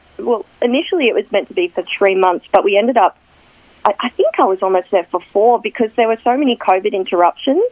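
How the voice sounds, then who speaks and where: A woman's fairly high voice in an Australian accent, very fast, with very wide pitch swings and very even loudness. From Newcastle, Australia. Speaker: actress. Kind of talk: radio interview, casual chat. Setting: radio studio.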